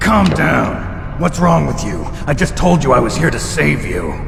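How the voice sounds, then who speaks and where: A man performs a put-on character voice at a moderate pace. Loud background noise runs underneath. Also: medium pitch for a man. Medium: machinima. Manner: terse, gruff.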